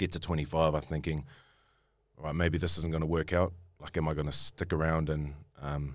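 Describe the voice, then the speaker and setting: A man with a New Zealand accent and a very deep, low pitch, fairly quick in pace yet with long, frequent pauses, fairly even in intonation, on a very clean recording with a silent background. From New Zealand, Auckland. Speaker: rugby player. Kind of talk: casual chat. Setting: studio.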